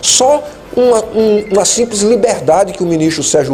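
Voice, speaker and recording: There is noticeable background noise behind a man's high voice. His pitch varies in an ordinary way. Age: 60s. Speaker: retired army colonel and lawyer, political commentator. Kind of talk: interview.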